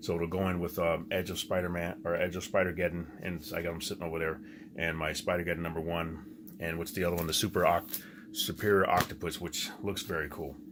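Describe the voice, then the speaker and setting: A man with a very deep, low voice talks at a very fast pace. His intonation is flat and monotone. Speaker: comic book collector YouTuber. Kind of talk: casual haul video talk. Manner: halting, many fillers and restarts.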